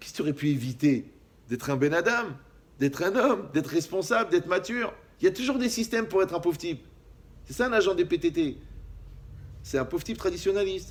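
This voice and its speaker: Talking very fast yet with long, frequent pauses, a man uses a high pitch, very wide pitch swings and big swings in loudness. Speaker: rabbi. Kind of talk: lecture. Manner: animated.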